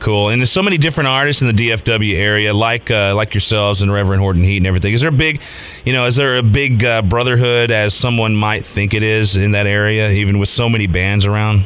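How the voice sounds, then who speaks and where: A man talks at a very fast pace with hardly any pauses and ordinary pitch variation. There is audible room echo and noticeable background noise. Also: fairly low pitch for a man, very even loudness. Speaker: radio host. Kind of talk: radio interview. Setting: radio studio.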